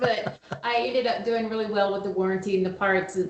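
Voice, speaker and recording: A woman with a slight Southern US accent speaks at a moderate pace and medium pitch, with ordinary pitch variation. Audible room echo and noticeable background noise surround her voice. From US South. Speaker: HVAC operations manager. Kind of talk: casual interview chat.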